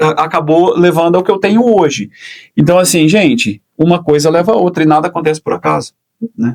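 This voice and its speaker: A man's high-pitched voice at a fairly quick pace, with lively intonation and very even loudness. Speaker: English teacher and journalist. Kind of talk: podcast interview. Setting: studio.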